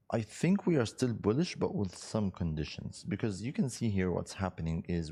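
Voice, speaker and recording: Speaking with an Arabic accent, a man has a dark, mellow tone and a moderate pace. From Egypt. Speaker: financial markets analyst. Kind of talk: live webinar market analysis. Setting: live webinar. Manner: conversational, many fillers.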